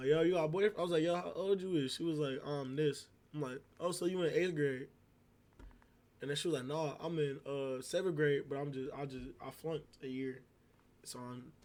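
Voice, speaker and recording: A man speaks with a dark, mellow tone at a fairly high pitch. His pace is fairly quick. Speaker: streamer. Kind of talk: storytelling on livestream.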